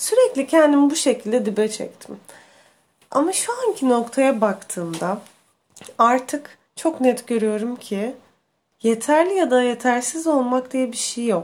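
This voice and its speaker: Her voice sits high and her delivery is very slow. The woman's intonation stays lively throughout. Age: 20s. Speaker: podcast host. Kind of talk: personal monologue.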